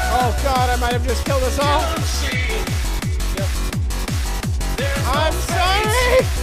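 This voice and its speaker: Very slow speech with long, frequent pauses over loud background music. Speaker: video game streamer. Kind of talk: live gaming stream banter. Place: home room.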